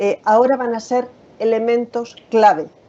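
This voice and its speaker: A woman in a Spanish accent at a fairly slow pace. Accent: Spanish (Spain). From Spain. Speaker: occupational safety and health specialist. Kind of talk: webinar presentation. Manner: frequent filler hesitations.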